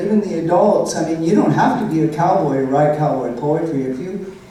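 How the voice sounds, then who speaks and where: Noticeable background noise sits under speech delivered at a moderate pace with lively intonation. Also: woman. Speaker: cowboy poet. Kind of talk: Q and A answer.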